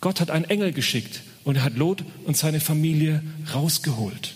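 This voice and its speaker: The man speaks at a moderate pace with a fairly high pitch. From Franconia, Bavaria (Uffenheim). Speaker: guest preacher. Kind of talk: sermon.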